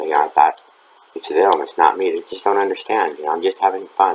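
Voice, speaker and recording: A man speaks with an American accent against noticeable background noise. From western US ranch country, mountains. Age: 60s. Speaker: recovery speaker, ex-convict. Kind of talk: recovery meeting talk, personal testimony. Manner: casual, with many fillers.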